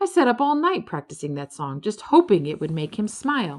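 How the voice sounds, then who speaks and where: A female-sounding voice puts on a character voice, fairly high in pitch with very wide pitch swings, and moves at a fairly quick pace. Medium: read story.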